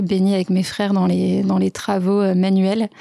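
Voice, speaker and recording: Her intonation monotone and flat, a woman speaks at a medium pitch and a fairly slow pace. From France, Lyon region (Rhône). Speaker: entrepreneur, startup co-founder. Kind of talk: interview.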